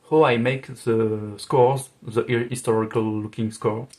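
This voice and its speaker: Fairly slow speech in a French accent with fairly even intonation. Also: man. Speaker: music arranger and video creator. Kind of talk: FAQ video monologue. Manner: halting, many fillers.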